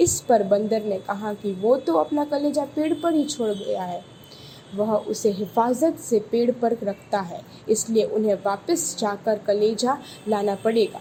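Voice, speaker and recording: A woman's fairly high-pitched voice carries lively intonation through noticeable background noise. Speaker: voice over artist. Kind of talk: children's story narration.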